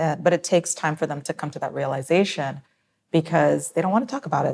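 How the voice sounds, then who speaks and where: Vocal fry marks speech at a very fast pace with ordinary pitch variation. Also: woman. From New Jersey, US (born Trinidad, moved at four). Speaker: psychiatrist. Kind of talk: interview.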